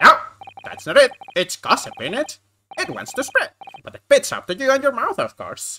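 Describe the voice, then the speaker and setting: In a put-on character voice pitched extremely high, the speaker moves at a moderate pace, broken by long, frequent pauses. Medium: game stream. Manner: chatty, conspiratorial.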